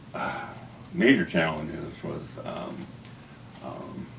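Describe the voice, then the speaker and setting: Through audible room echo and noticeable background noise, a man talks very slowly. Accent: American. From Kansas, US Midwest. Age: 70s. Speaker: artist and civil rights activist. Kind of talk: interview. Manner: halting.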